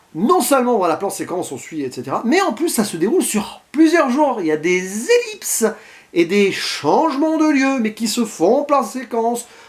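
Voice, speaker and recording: A man speaks at a moderate pace in an extremely high pitch. His pitch swings very widely. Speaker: film critic vlogger. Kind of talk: unscripted film review monologue to camera. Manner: spontaneous, with stumbles and hesitations.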